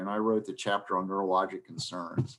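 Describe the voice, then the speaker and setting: This is a man speaking. His pace is moderate. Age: 60s. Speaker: space medicine expert and lecturer. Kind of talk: presentation with Q&A. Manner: halting with many fillers.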